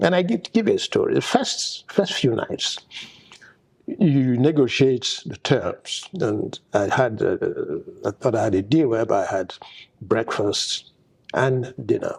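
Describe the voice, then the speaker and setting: A man speaks in a Nigerian accent at a moderate pace. Long pauses come often. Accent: solid Nigerian. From northern Nigeria, Zaria. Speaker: petroleum engineer. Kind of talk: oral history interview. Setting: conference venue. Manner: halting, repeats words.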